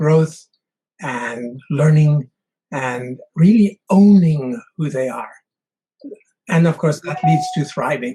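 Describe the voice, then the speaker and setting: Speaking at a very slow pace, a man with a fairly high pitch and ordinary pitch variation has a somewhat breathy voice and a dark, mellow tone. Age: 70s. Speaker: mountain climber. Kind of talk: interview.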